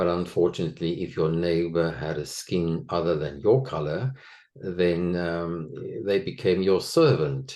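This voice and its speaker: A man's very deep, low voice in a South African accent at a fairly slow pace. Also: ordinary pitch variation. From South Africa, Afrikaner household. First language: Afrikaans. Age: 60s. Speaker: former actor, interviewee on abuse recovery. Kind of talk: personal testimony interview.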